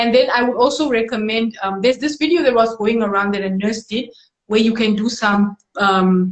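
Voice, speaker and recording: A woman speaks with a non-native accent. Her pitch is fairly high and her pace moderate. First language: not English. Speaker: musician and medical doctor. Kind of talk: casual interview. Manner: halting.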